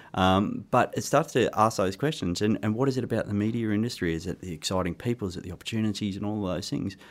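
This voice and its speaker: Someone with an Australian accent speaks at a very fast pace with ordinary pitch variation. The recording is very clean, with a silent background. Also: man, fairly low pitch for a man. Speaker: careers consultant and author. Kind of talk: interview answers. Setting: studio.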